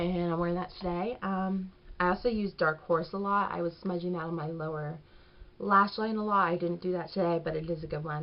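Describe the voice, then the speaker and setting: In a fairly low pitch, a woman speaks with monotone, flat intonation. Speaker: beauty vlogger. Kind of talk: product review. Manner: casual, chatty; fast.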